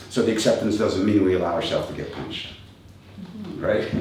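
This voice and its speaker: Amid noticeable background noise and audible room echo, a man rattles along at a very fast pace. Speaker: kung fu and tai chi teacher. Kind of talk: motivational talk.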